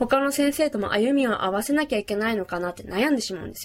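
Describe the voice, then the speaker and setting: A woman talks at a fairly quick pace. Her fairly high pitch moves with lively intonation. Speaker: podcast host. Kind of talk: casual monologue. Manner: fast.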